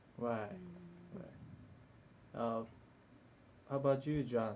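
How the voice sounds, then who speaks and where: Here a man speaks at a medium pitch. He has a Korean accent. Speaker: study group leader and podcast host. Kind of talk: casual group discussion. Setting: recorded live in a lounge. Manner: talkative, laughs often.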